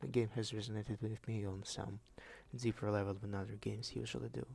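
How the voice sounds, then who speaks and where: A man speaks with a strong Russian accent. His pitch is fairly low. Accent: thick Russian. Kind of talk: unscripted video essay talk. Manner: rambling, casual.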